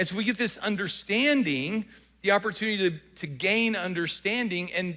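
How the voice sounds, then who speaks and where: A man speaks in a Southern US accent at a moderate pace. His tone is bright and sharp, with lively intonation. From US South. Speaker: pastor. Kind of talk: sermon. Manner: repetitive false starts.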